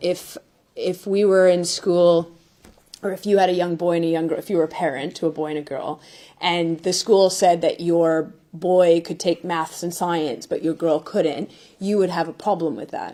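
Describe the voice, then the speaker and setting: A woman with a Canadian accent speaks at a fairly low pitch with a dark, mellow tone. Her pace is moderate and her intonation fairly even. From Canada. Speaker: football manager. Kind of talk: press conference.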